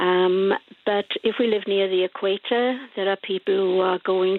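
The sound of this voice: Speaking at a fairly slow pace, a woman with a medium pitch keeps her intonation fairly even, the sound dry and close with no echo.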